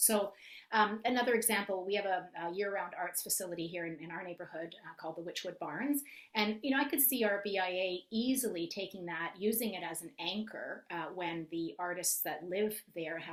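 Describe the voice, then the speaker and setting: A woman talks at a fairly quick pace, her pitch medium with ordinary variation. Her loudness swings widely. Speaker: marketing consultant. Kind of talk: webinar presentation. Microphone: too quiet.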